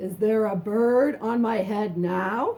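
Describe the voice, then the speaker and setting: A woman's put-on character voice, fairly high in pitch, at a fairly slow pace. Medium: read story. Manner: anxious, exclaiming.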